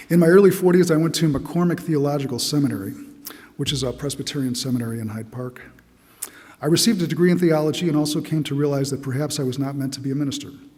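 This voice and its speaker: A man talks at a very fast pace with a fairly high pitch. Audible room echo surrounds his voice. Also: ordinary pitch variation. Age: 60s. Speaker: church member giving testimony. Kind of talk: testimony. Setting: church.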